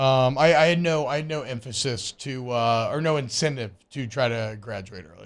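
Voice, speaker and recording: A man's normal speaking voice at medium pitch, ordinary pitch variation, a moderate pace with hardly any pauses, big swings in loudness, and a very clean recording with a silent background. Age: 30s. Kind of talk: casual sports talk radio. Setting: radio studio.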